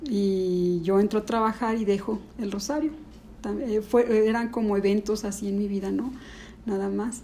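A woman with a fairly high pitch and fairly even intonation speaks with long, frequent pauses. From Mexico, Ciudad Juárez then León from age nine. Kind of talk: testimony. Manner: halting.

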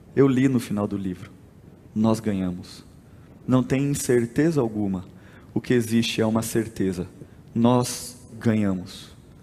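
A man's dark, mellow voice at medium pitch, with ordinary pitch variation, a fairly slow pace, long and frequent pauses, and audible room echo. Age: 20s. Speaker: pastor. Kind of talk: sermon.

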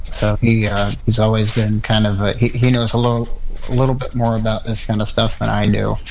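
A man's medium-pitched voice, fairly quick and monotone, flat in intonation, over noticeable background noise. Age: 30s. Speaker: musician and cowboy. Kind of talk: casual chat. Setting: online audio room.

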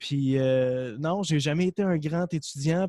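A man speaks at a moderate pace with fairly even intonation and a fairly high pitch, a normal speaking voice. The recording is very clean, with a silent background and a dry, close sound with no echo. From Quebec, Gaspésie (Percé). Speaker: entrepreneur, supplement company cofounder and podcaster. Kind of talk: casual interview.

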